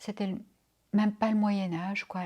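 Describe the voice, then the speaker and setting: Somewhat breathy and dark, mellow in tone, a woman speaks in a flat monotone. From Belgium, Brussels. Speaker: interviewee recounting personal history. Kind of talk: interview testimony. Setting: home interview.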